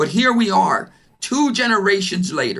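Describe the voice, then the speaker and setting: Loud and bright, sharp in tone, a man's voice makes very wide pitch swings. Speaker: panelist, business executive. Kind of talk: panel discussion.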